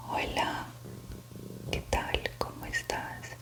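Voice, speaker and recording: A woman whispers very slowly, with noticeable noise in the background. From Colombia. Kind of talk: whispered suspense story reading, ASMR. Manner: whispered, soft, slow.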